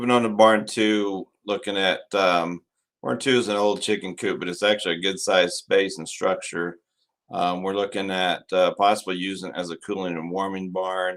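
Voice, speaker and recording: A man with an American accent speaks at a moderate pace and with fairly even intonation, captured on a very clean recording with a silent background. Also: fairly low pitch for a man. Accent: West Texas, milder than outdoors. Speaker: school district administrator. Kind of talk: narrated video presentation.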